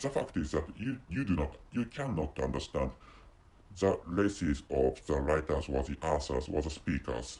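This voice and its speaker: Very deep, low male voice with vocal fry, lively intonation, and a moderate pace. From Japan. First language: Japanese. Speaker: podcaster. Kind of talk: solo podcast monologue. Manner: halting, many repetitions and restarts.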